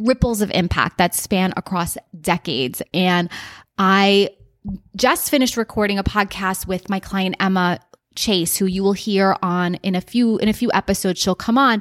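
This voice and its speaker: A woman with a plain, everyday voice and an American accent speaks at a moderate pace and a medium pitch with ordinary pitch variation, in a dry, close, echo-free recording that is very clean with a silent background. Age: 40s. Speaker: business coach and podcast host. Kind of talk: solo podcast monologue.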